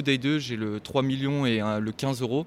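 The man's intonation stays fairly level at a middle pitch. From Normandy, France. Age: 20s. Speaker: poker player. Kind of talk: casual chat.

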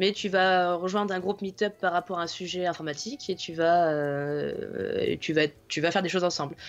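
At a moderate pace, a woman with an unremarkable speaking voice talks in a fairly low pitch with fairly even intonation against a quiet background. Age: 20s. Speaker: IT consultant. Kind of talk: casual chat.

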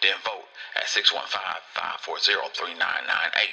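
A man speaks over noticeable background noise. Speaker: radio host. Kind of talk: radio promo and interview.

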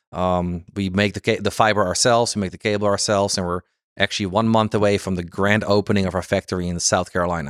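A man speaks at a very fast pace with a slight Dutch accent and a fairly low pitch. His intonation is monotone and flat, in a dry, close sound with no echo and a very clean recording, silent background. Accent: light Dutch-accented English. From Netherlands, Amsterdam. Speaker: fiber cable sales executive. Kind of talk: interview. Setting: conference venue.

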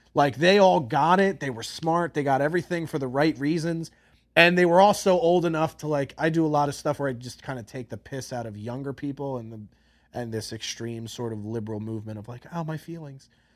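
A man talks in a normal speaking voice with a fairly high pitch, lively intonation and big swings in loudness, on a very clean recording with a silent background. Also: fairly quick pace. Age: 30s. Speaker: podcast host. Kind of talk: casual chat.

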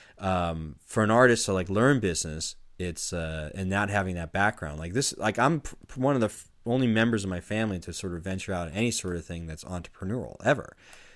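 A man with a normal speaking voice talks fairly quickly with hardly any pauses, at a fairly low pitch with ordinary pitch variation. The recording is very clean, with a silent background. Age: 40s. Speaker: filmmaking podcast host. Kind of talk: casual chat.

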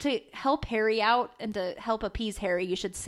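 Someone does plain reading aloud. The text is simply read out.

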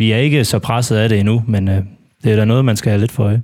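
His intonation is fairly even. This man's pitch sits at a medium level. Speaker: football fan panelist. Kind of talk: casual football discussion. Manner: halting, many filler words.

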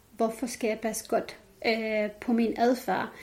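A woman with an Arabic accent talks at a very slow pace and fairly high pitch, her intonation monotone and flat. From Jordan (Palestinian family). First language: Arabic (speaking Danish). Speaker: women's rights activist. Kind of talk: interview.

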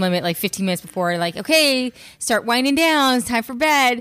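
A woman talks at a fairly quick pace with an American accent. The recording is very clean, the background silent. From California high desert. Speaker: executive chef. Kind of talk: interview.

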